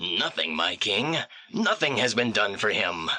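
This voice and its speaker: A man speaks at a fairly slow pace in a raspy, put-on character voice of medium pitch, with lively intonation. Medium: audio drama. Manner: respectful, formal.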